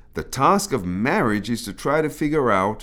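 In a British accent, a man is speaking. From British of African Caribbean heritage. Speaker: pastor and author. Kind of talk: reading aloud.

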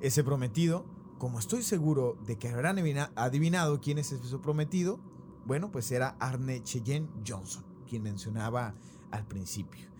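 A man's medium-pitched voice in an Argentine accent, with lively intonation and a moderate pace. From Mexico, raised by Argentine parents. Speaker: podcast host. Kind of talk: storytelling about paranormal case.

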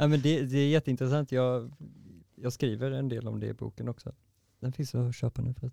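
A fairly quick, monotone delivery with flat intonation and a dark, mellow tone, in a dry, close sound with no echo. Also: man, medium pitch for a man. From Sweden, Varberg. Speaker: poet and dancer. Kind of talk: casual interview.

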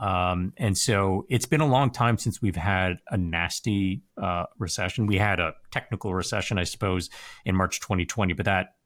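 A man's unremarkable speaking voice, moderate in pace and fairly low in pitch. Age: 40s. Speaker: personal finance commentator. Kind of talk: interview conversation. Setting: video call.

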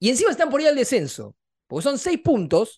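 With very wide pitch swings, a man in a Rioplatense accent is heard in a very clean recording with a silent background and a dry, close sound with no echo. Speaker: sports podcast co-host. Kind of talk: casual chat.

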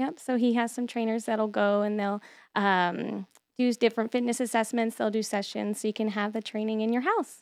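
A woman's plain, everyday voice, fairly high with fairly even intonation, at a moderate pace, dry and close with no echo on a very clean recording with a silent background. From Texas. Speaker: church outreach director. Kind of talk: casual radio interview. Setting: radio studio.

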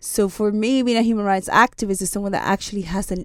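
A woman with a Spanish accent, medium pitch and ordinary pitch variation, in a very clean recording with a silent background. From southern Spain (Seville). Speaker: human rights lecturer. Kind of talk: casual chat. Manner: halting.

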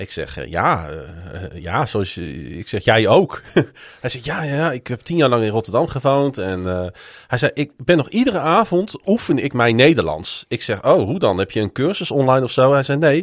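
A man's fairly high voice with vocal fry and very wide pitch swings at a moderate pace, on a very clean recording with a silent background. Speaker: sports podcast host. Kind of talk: casual chat.

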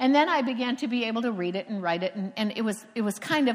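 Fairly high-pitched woman with an American accent, an ordinary speaking voice, lively intonation and a fairly quick pace. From Cocoa Beach, Florida. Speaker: preacher. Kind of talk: sermon. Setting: stage with audience.

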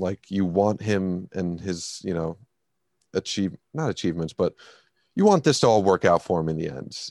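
A man speaks with a very deep, low pitch over a quiet background. The sound is dry and close, with no echo. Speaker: movie podcast co-host. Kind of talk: casual chat. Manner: loud.

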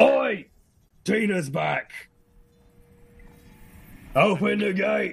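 Using a put-on character voice, a raspy man speaks at a very slow pace with long, frequent pauses. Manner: shouting, gruff.

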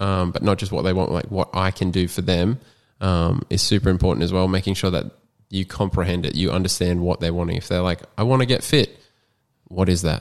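A man with an Australian accent speaks fairly quickly in a very deep, low voice, on a very clean recording with a silent background. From Australia, Queensland coast. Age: 20s. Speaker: personal trainer and graphic designer. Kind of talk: casual chat.

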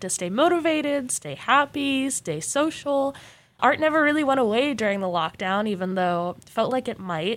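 With an American accent, a woman speaks at a moderate pace and swings her pitch very widely in a very clean recording with a silent background. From Arizona (Mesa). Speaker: student podcast co-host. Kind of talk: casual chat.

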